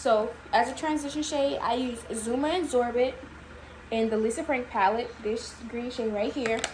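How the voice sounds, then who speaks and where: A woman with a high pitch speaks at a moderate pace, with ordinary pitch variation. There is audible room echo and noticeable background noise. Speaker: makeup artist. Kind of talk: tutorial.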